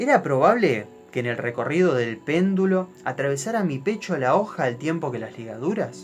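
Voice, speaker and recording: With music in the background, a man with an Argentine accent talks at a fairly high pitch and moderate pace, his pitch swinging very widely. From Argentina. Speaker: storyteller. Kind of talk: horror story narration.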